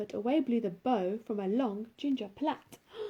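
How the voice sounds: Here is a natural reading voice. The text is read in it.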